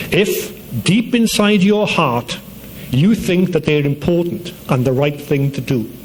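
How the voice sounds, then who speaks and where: Lively intonation and a Welsh accent come through over noticeable background noise. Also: man, high pitch for a man. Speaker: university dean. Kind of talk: commencement speech. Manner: formal.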